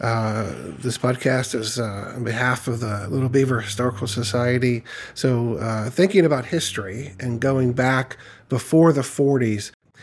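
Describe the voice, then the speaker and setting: This man has an ordinary speaking voice. He talks at a moderate pace with a medium pitch. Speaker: podcast host. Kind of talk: interview. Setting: recorded in a historic building.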